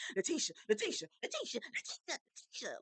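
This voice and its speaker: In a put-on character voice, the speaker talks at a very fast pace and an extremely high pitch. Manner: pleading, repeated calling.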